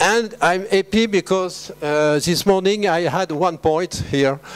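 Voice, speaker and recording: Over music in the background, a man with a French accent speaks at a very slow pace. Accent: French, noticeable. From France. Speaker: veterinary scientist. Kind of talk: conference talk. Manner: halting with many fillers.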